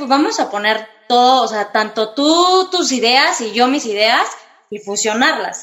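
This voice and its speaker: The woman's voice is high in pitch with lively intonation. She speaks at a fairly slow pace. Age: 30s. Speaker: interior designer, floral design business co-owner. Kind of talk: casual interview.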